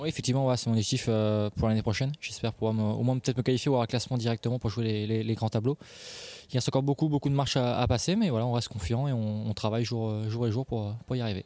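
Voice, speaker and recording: Against a quiet background, a man speaks at a very fast pace with a medium pitch, fairly even intonation, very even loudness and a dark, mellow tone. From France. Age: 20s. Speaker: professional tennis player. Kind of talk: interview.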